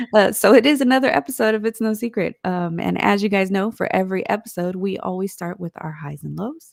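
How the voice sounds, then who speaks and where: At a fairly quick pace, a woman of medium pitch speaks with ordinary pitch variation and big swings in loudness. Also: hardly any pauses. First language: Spanish. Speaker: podcast co-host. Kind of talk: casual chat. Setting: live stream.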